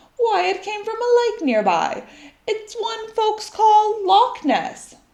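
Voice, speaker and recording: A woman uses a put-on, squeaky character voice at an extremely high pitch. She goes at a fairly slow pace with ordinary pitch variation. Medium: read story.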